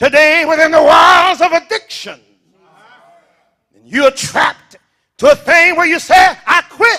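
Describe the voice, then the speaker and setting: A man speaks in a raised, projected voice at a fairly slow pace. His tone is animated, bright and sharp. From US South. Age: 70s. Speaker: pastor. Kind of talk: sermon.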